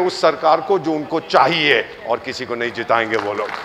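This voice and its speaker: A man's voice swinging very widely in pitch, with noticeable background noise. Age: 70s. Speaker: diplomat and government advisor. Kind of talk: motivational talk to students. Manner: animated, joking.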